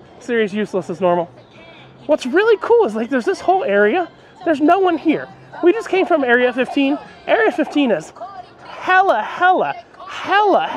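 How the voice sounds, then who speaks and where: Speech comes at a fairly quick pace, with faint music playing in the background. The sound is dry, with no echo. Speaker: travel vlogger. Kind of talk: casual vlog chat. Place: street. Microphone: phone near.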